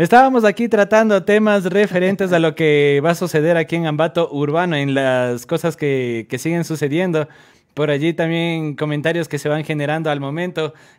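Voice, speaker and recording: A man talks at a moderate pace and a fairly high pitch, with ordinary pitch variation. It is a plain, everyday voice over a quiet background. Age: 20s. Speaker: radio host. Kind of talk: casual chat. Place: studio. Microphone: studio mic.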